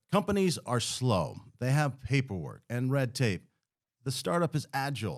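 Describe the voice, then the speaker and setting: A man with a normal speaking voice talks at a medium pitch and moderate pace, with lively intonation. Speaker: TV news anchor and reporter. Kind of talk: podcast interview.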